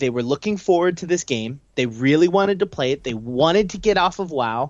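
A man's unremarkable speaking voice with lively intonation at a moderate pace. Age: 20s. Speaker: gaming podcast co-host. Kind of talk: casual chat. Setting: video call.

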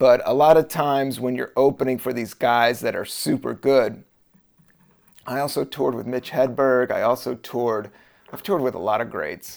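This is a man with a plain, everyday voice at medium pitch. He keeps a moderate pace and fairly even intonation. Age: 40s. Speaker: podcast host and comedian. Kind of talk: casual solo monologue. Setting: home recording, raining outside. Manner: relaxed, rambling with fillers.

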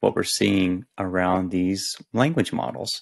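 Speaking at a fairly slow pace, this is a plain, everyday voice. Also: man. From US South. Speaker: author. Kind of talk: casual chat.

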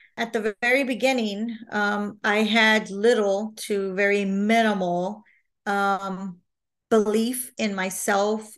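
A woman with an American accent talks at a very slow pace in a medium pitch. Her intonation is monotone and flat, over a quiet background. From Texas, San Marcos. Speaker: HR professional. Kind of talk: testimony. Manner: halting.

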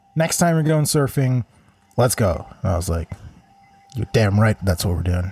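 A man speaks with very wide pitch swings and long, frequent pauses. Noticeable background noise sits behind him. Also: medium pitch for a man, moderate pace. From Israel. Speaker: musician. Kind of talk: casual chat. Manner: halting.

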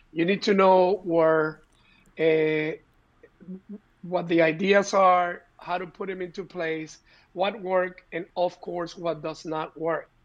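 In a Spanish accent, a man with a high voice talks very slowly and in a flat monotone, leaving long, frequent pauses. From Puerto Rico, of Cuban descent. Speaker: entrepreneur. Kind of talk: interview.

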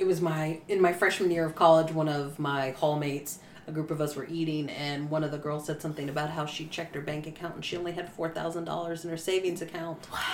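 The speech comes at a very fast pace with monotone, flat intonation. Noticeable background noise is present. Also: woman, very deep, low pitch for a woman. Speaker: podcast co-host. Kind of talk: casual chat.

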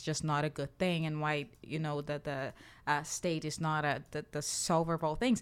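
On a very clean recording with a silent background, a woman speaks with a Portuguese accent. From Brazil. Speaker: podcast co-host. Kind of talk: casual chat.

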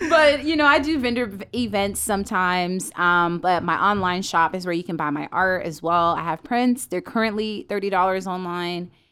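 A woman with an American accent and a plain, everyday voice speaks at a moderate pace and medium pitch, with lively intonation and hardly any pauses, on a very clean recording with a silent background. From US South, Fayetteville, North Carolina. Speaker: photographer and content producer. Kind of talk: interview. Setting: studio.

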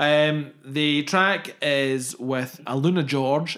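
In a Scottish accent, a man talks with a fairly high pitch and ordinary pitch variation. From southwest Scotland. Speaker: podcast host. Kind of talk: casual chat.

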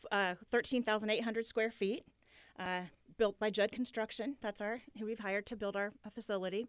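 A woman with a Midwestern American accent speaks at a fairly quick pace in a fairly high pitch, her intonation monotone and flat. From Muncie, Indiana. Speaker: daycare business owner. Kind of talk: radio interview. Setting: radio studio.

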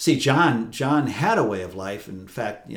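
With an American accent and an unremarkable speaking voice, a man talks at a fairly slow pace using lively intonation. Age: 60s. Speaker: priest. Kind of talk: interview conversation. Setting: on location at a retreat house.

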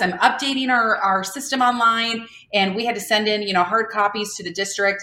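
At a fairly quick pace, a woman speaks at a medium pitch in a normal speaking voice. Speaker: speech-language pathologist and company founder. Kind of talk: casual interview chat.

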